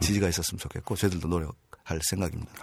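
Very fast in pace, a man with a very deep, low pitch speaks with fairly even intonation. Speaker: railway union leader. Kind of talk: interview.

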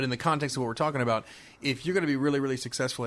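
A man talks at a very fast pace in an animated tone. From US South, Miami, Florida. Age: 40s. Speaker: car dealership owner. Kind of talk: casual interview.

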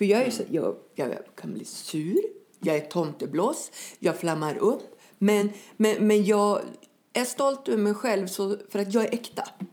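She speaks at a fairly slow pace with a medium pitch and lively intonation. This woman has an unremarkable speaking voice. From northern Sweden, Skellefteå. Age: 40s. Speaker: activist and former addict. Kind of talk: testimony in podcast interview.

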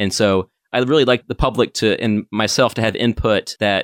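In an American accent, a man with an unremarkable speaking voice talks fairly low in pitch with fairly even intonation. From North Carolina, Asheville. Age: 30s. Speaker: town council candidate. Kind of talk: interview. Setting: studio.

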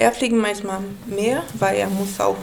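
Speaking with a Brazilian accent, a woman talks at medium pitch and a moderate pace with ordinary pitch variation. Audible room echo and noticeable background noise fill the recording. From Brazil, Manaus. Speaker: café owner and baker. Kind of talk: casual interview. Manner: halting, broken German.

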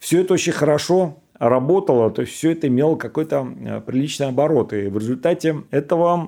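A man speaks in a fairly high pitch with a dark, mellow tone and lively intonation. The recording is very clean, with a silent background. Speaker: former soldier and engineer telling life story. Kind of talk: personal storytelling.

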